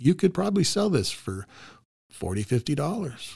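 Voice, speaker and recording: A man's fairly slow speech with vocal fry and very wide pitch swings. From North Dakota. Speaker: photographer and artist. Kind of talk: interview.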